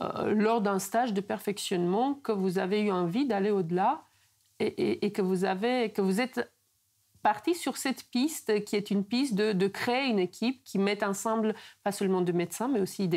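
A woman speaks at a moderate pace with ordinary pitch variation. Her loudness stays very even over a quiet background. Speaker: interviewer. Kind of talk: interview. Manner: halting, repeats words. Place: home room.

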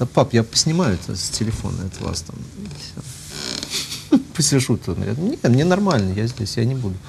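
This man's voice makes very wide pitch swings. Background noise is noticeable. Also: moderate pace. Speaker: priest. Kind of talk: talk-show discussion, casual anecdote. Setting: studio. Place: studio. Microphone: lapel.

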